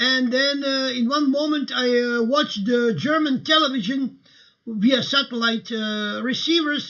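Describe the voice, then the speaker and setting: A man with a Croatian accent, extremely high in pitch, at a fairly slow pace with ordinary pitch variation. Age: 60s. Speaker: livestream host. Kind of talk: casual livestream talk. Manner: halting, many fillers.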